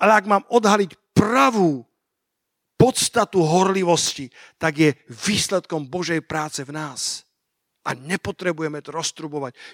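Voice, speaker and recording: In a very clean, dry, close recording with no echo and a silent background, a man speaks at a fairly slow pace in a high, animated voice with lively intonation and big swings in loudness. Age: 50s. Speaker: pastor. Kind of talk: sermon.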